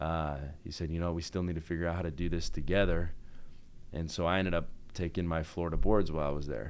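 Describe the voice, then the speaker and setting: Talking at a very fast pace with an American accent, a man with a very deep, low pitch keeps a fairly even intonation amid audible room echo. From Utah, Salt Lake City. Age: 30s. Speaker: orthodontist and band singer. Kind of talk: casual interview.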